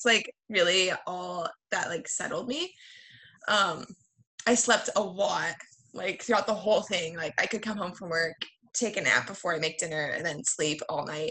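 With an American accent, a woman speaks at a moderate pace using ordinary pitch variation. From Washington State, US Pacific Northwest. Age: 20s. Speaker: new mother telling birth story. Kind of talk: casual interview, birth story.

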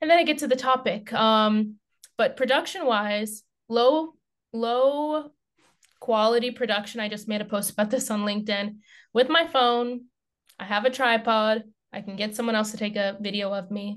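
In a quiet background, a woman with an American accent speaks at a moderate pace at a fairly high pitch, with ordinary pitch variation and an unremarkable speaking voice. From United States. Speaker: content marketer. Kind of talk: podcast interview.

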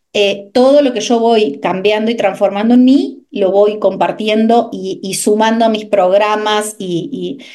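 A woman with a fairly high pitch and ordinary pitch variation talks amid audible room echo. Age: 30s. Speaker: nutrition coach. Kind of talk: interview.

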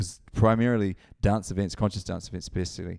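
Speaking with a New Zealand accent, a man has a fairly low voice and ordinary pitch variation. His pace is fairly quick, and the recording is very clean with a silent background. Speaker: DJ and event organiser. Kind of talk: casual chat.

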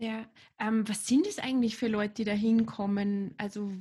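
In a quiet background, a woman with a fairly high pitch speaks at a moderate pace, somewhat breathy, with a dark, mellow tone and fairly even intonation. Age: 40s. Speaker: podcast host. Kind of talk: interview.

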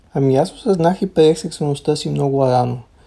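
Somewhat breathy and dark, mellow in tone, a man speaks fairly quickly at a fairly high pitch. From Bulgaria. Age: 30s. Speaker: student, former LGBT activist. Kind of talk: recorded interview answers.

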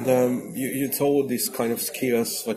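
Music plays in the background as a man speaks with a Hungarian accent. His pitch is medium and his pace moderate. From Hungary. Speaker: podcast host. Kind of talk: interview. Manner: halting.

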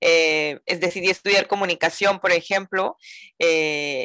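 A woman speaks in a bright, sharp tone with monotone, flat intonation. The recording is very clean with a silent background and a dry, close sound with no echo. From Mazatlán, Sinaloa, northern Mexico. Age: 40s. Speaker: yoga teacher. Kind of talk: interview. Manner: talkative.

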